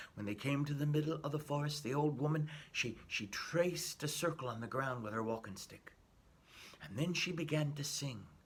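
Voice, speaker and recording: At a moderate pace, a man with a fairly high, somewhat breathy voice speaks with ordinary pitch variation. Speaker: storyteller. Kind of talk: folk tale storytelling for children.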